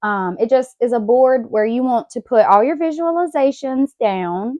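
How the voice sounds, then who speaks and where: With a Southern US accent, a woman talks at a fairly slow pace. Her pitch is high. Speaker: podcast host.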